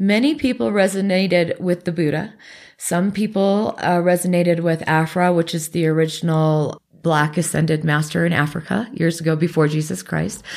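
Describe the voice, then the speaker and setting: A woman with an American accent and an unremarkable speaking voice, fairly low in pitch with ordinary pitch variation, moderate pace and very even loudness, in a very clean recording with a silent background. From Alaska and US Northwest. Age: 40s. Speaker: Reiki practitioner. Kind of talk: interview.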